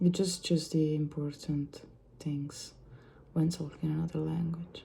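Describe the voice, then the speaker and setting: In a dark, mellow tone, a woman speaks at a very deep, low pitch, somewhat breathy, at a fairly slow pace with monotone, flat intonation. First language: Italian. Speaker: vlogger. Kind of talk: ASMR-style casual monologue. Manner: halting; soft-spoken.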